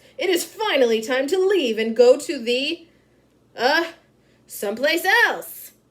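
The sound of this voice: In a loud, put-on character voice, the speaker goes at a fairly slow pace with long, frequent pauses. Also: woman, high pitch for a woman.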